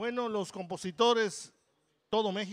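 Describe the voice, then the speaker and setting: Ordinary pitch variation at a moderate pace on a very clean recording with a silent background. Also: man. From Campeche, Mexico. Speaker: band musician. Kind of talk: interview.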